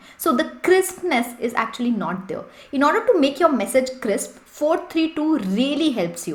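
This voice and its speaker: A woman's high-pitched voice with very wide pitch swings against noticeable background noise. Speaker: English and interview-prep coach. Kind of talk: tutorial. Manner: fast.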